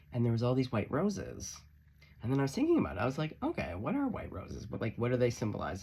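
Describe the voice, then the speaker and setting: Medium pitch from a man speaking. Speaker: tarot reader; musician. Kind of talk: tarot reading monologue. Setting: friend's music studio. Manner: fast; animated.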